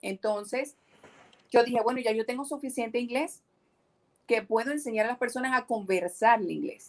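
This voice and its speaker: The pace is moderate, with ordinary pitch variation. Long, frequent pauses break up the speech. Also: woman. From Venezuela, Maracaibo (Zulia). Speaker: entrepreneur and English teacher. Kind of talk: casual interview.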